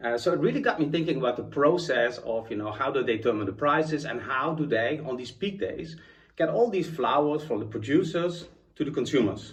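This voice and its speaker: A man's fairly high, somewhat breathy voice with a Dutch accent, lively in intonation and fairly quick in pace, with audible room echo. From Netherlands. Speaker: chief information architect, conference speaker. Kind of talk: conference talk.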